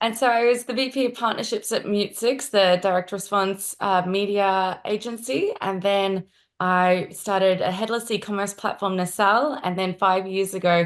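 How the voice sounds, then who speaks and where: With an Australian accent, a woman speaks at a moderate pace and medium pitch, with fairly even intonation and hardly any pauses. The recording is very clean, with a silent background. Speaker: marketing executive. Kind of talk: interview.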